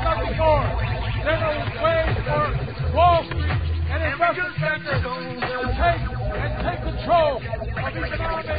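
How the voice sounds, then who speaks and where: Over loud background music, a man speaks at a fairly slow pace. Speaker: speaker. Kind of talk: political rally speech. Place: stage.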